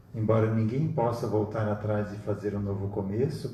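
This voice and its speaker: With a dark, mellow tone and a somewhat breathy quality, a man of fairly low pitch speaks amid audible room echo. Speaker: spiritist study group leader. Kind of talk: lecture. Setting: live stream.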